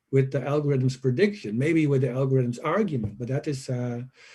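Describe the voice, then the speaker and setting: Somewhat breathy and dark, mellow in tone, a man with a non-native accent speaks at a fairly high pitch with fairly even intonation. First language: not English. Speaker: professor, conference speaker. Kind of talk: conference Q&A. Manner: halting.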